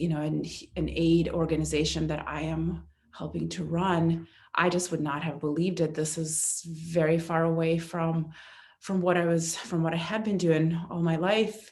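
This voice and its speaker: A somewhat breathy woman's voice, fairly low in pitch, with monotone, flat intonation at a moderate pace. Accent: Russian. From eastern Ukraine (Kharkiv). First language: Russian. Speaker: aid organization volunteer. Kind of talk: testimony. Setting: church. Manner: halting.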